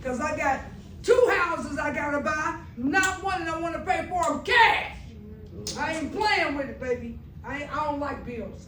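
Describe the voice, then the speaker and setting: A woman with a high voice speaks in an animated tone and lively intonation, with noticeable background noise and audible room echo. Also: moderate pace. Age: 60s. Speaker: investor giving testimony. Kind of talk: testimony.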